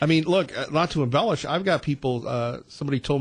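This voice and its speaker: A man with a fairly high pitch speaks at a very fast pace with ordinary pitch variation. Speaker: radio host. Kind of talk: talk radio. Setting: studio.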